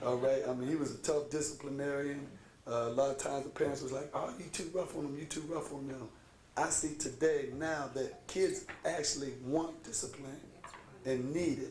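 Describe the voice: A raspy man with a slightly mellow tone speaks at medium pitch with fairly even intonation. He keeps a moderate pace amid audible room echo.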